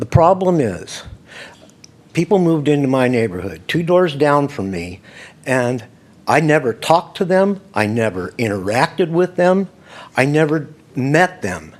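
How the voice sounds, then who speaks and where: A man with an American accent speaks at a fairly slow pace, his fairly high voice swinging very widely in pitch, with long, frequent pauses. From California, Modesto. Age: 60s. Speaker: public commenter. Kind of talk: public comment at council meeting. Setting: city council chamber. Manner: agitated.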